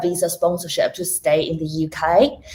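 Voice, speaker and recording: Speaking at a moderate pace, a woman with a Chinese accent has a fairly low pitch. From China. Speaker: technology risk professional. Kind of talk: interview.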